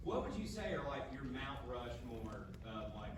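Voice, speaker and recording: With an Atlanta accent, a man speaks over noticeable background noise and audible room echo. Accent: typical Atlanta. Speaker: audience member, amateur comedian. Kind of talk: audience question. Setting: theatre audience. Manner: halting.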